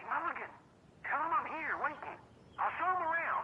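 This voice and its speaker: With clear background noise behind her, a woman uses an extremely high put-on character voice at a moderate pace. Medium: video game. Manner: blunt, coarse.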